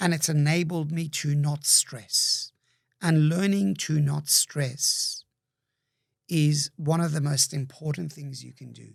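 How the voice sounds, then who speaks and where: On a very clean recording with a silent background, a somewhat breathy man with a fairly high pitch speaks very slowly, with ordinary pitch variation and big swings in loudness. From migrated young to Australia. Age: 60s. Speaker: entrepreneur. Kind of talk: interview conversation.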